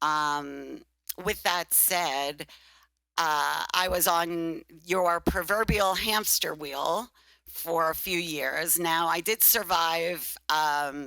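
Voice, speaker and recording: A woman with a Brooklyn accent speaks at a very slow pace in a bright, sharp tone, her pitch fairly low and her intonation fairly even. Her loudness stays very even on a very clean recording with a silent background. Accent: Brooklyn accent, still noticeable. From Brooklyn, New York. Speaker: recruitment business owner. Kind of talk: interview. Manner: hesitant, many fillers.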